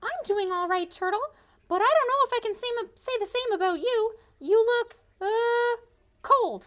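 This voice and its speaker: A cartoonish character voice at an extremely high pitch, moving at a moderate pace with long, frequent pauses. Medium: puppet.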